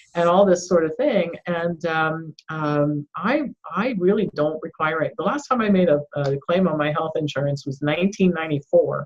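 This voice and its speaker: With an ordinary speaking voice, a woman of fairly low pitch talks with hardly any pauses and ordinary pitch variation. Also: moderate pace. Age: 60s. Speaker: doctor and author. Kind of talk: interview.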